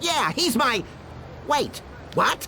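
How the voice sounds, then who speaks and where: Clear background noise under a put-on character voice. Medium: video game. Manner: panicky, whiny.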